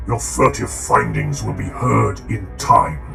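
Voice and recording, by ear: Over clear music in the background, a man puts on a character voice with vocal fry, a fairly low pitch and very wide pitch swings, speaking at a fairly slow pace.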